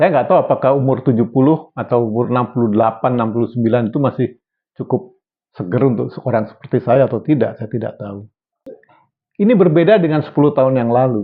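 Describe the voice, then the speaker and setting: The man speaks at a very fast pace. His voice sits at a medium pitch with ordinary variation. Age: 60s. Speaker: health video presenter. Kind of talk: educational talk. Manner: casual, conversational.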